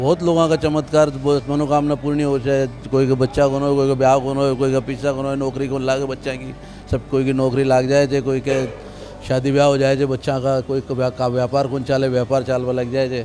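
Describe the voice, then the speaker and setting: With music playing in the background, a man speaks at a moderate pace in a monotone, flat intonation. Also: medium pitch for a man. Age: 50s. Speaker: devotee. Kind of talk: interview answers. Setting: temple premises.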